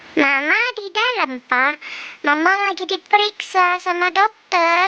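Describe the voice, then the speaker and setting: Pitched extremely high, this squeaky put-on character voice moves at a fairly slow pace. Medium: machinima. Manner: encouraging.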